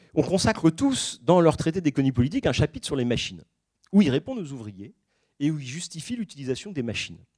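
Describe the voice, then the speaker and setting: This voice races along at a very fast pace, with very wide pitch swings, big swings in loudness, and a dry, close sound with no echo. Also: man, fairly high pitch for a man. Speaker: historian giving a public talk. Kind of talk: lecture. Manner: hesitant, many fillers.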